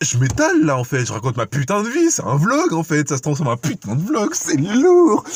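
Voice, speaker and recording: The background is silent in this very clean recording. At a moderate pace, a man talks with very wide pitch swings. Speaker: vlogger. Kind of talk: casual vlog. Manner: animated.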